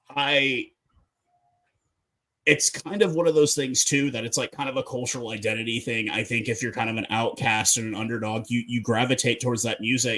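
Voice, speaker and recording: This man has an American accent and a bright, sharp tone. He speaks at medium pitch with fairly even intonation. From North America. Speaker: podcast host. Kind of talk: casual chat.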